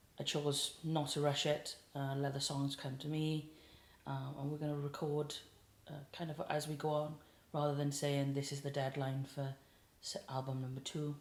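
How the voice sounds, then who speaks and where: A woman with a South Wales accent speaks at a moderate pace. Her very deep, low pitch stays monotone and flat. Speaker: singer-songwriter. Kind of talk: casual interview chat.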